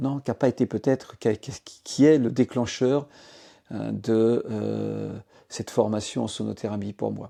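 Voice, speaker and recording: No echo colors this man's dry, close-miked voice. His delivery is fairly slow. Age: 60s. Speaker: sound therapy practitioner, former business executive. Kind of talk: testimony. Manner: halting, many filler hesitations.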